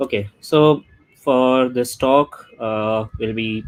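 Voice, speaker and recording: The speaker is male. He delivers everything in a flat monotone. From India (New Delhi). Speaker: app developer and startup founder. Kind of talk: tech talk presentation. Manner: halting with many fillers.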